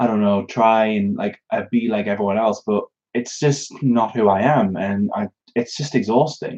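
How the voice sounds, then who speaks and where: This man has a British accent. His intonation stays fairly even. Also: medium pitch for a man, moderate pace. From northern England, Newcastle upon Tyne area. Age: 20s. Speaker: YouTuber. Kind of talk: live Q&A stream. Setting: live stream. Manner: halting, many fillers.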